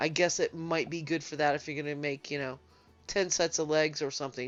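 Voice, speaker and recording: A woman talks at a fairly quick pace with a very deep, low pitch. Her intonation stays monotone and flat over music in the background. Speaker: video game tutorial creator. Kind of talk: gameplay tutorial. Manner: casual, many filler words.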